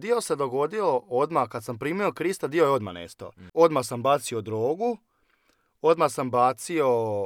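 On a very clean recording with a silent background and a dry, close sound with no echo, a man with a fairly high pitch talks at a fairly slow pace, his voice showing very wide pitch swings and big swings in loudness. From Croatia, Osijek (Slavonia). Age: 20s. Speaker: churchgoer sharing life story. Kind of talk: testimony.

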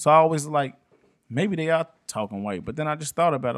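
A man's fairly quick delivery, with ordinary pitch variation, is captured on a very clean recording against a silent background. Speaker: podcast co-host. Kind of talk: casual chat, heated debate.

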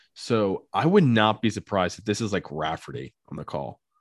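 A man's plain, everyday voice, fairly low in pitch with lively intonation, in a very clean recording with a silent background. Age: 20s. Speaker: sports podcast host. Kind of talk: casual chat.

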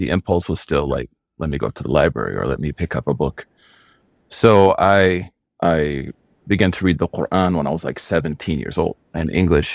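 A man's very deep, low voice with vocal fry and an American accent, at a fairly quick pace with ordinary pitch variation, in a dry, close sound with no echo. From Oklahoma. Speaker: Islamic scholar. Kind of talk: interview.

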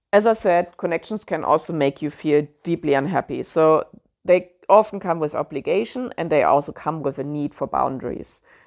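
Very deep and low in pitch, a woman speaks with a German accent at a moderate pace and with ordinary pitch variation. The very clean recording has a silent background and a dry, close sound with no echo. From Germany. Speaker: podcast host. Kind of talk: solo podcast monologue, informative talk. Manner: conversational, halting with fillers.

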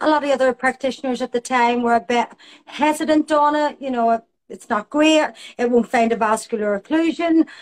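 With a Belfast accent, a woman talks at a fairly quick pace in a high pitch with ordinary pitch variation and a dry, close sound with no echo. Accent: Belfast Northern Irish. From Northern Ireland, Belfast. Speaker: aesthetics nurse practitioner. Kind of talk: interview.

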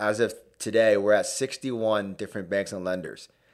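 A man with a Canadian accent and an ordinary speaking voice talks at a moderate pace, fairly low in pitch with ordinary pitch variation, in a very clean recording with a silent background. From Hamilton, Ontario, Canada. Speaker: mortgage broker. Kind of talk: casual chat.

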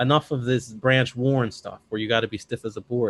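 At a fairly quick pace, a man speaks in a medium pitch, the sound dry and close with no echo. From Chicago, US Midwest. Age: 30s. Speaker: bodybuilding and powerlifting coach. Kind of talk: casual interview. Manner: animated.

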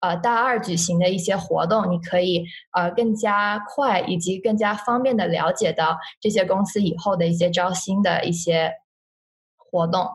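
At a moderate pace, a somewhat breathy voice with very even loudness and ordinary pitch variation comes through audible room echo. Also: woman, medium pitch for a woman. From China. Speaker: university student. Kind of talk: interview. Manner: halting.

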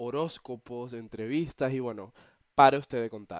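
On a very clean recording with a silent background, a man is heard in a dry, close sound with no echo. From eastern Venezuela, Cumaná. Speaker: podcaster. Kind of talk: casual monologue. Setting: bedroom, recording on laptop.

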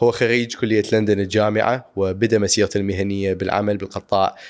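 A man speaks at a moderate pace with an Iraqi accent. His pitch is fairly low and his intonation fairly even. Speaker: podcast host. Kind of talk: scripted intro.

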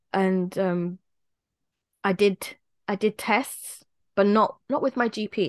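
Against a quiet background, a woman with a British accent speaks at a medium pitch in a dry, close sound with no echo. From England. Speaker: podcast co-host. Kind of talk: casual chat.

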